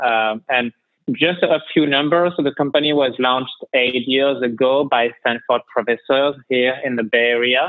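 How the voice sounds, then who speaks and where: A man with a French accent speaks at a moderate pace, his pitch medium. His intonation stays fairly even and his loudness very even. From France. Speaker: head of strategy and operations. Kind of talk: podcast interview. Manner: halting, many fillers.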